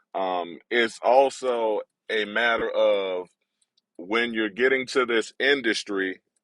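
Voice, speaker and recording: A man with an American accent, a bright, sharp tone, a medium pitch, fairly even intonation, and a very slow pace, in a dry, close recording with no echo. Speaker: voice actor. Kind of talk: casual livestream talk to camera.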